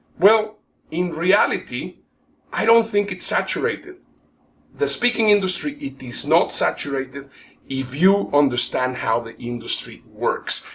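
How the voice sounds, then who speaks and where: A man with a high pitch, very wide pitch swings and a fairly slow pace. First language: not English (English is his third language). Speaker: professional speaker and event promoter. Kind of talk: webinar presentation.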